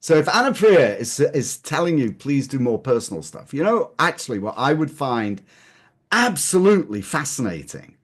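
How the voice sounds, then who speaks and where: In an English accent, the speaker moves at a moderate pace through very wide pitch swings. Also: man, quiet background. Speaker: capital-raising expert. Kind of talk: casual chat. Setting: webinar video call.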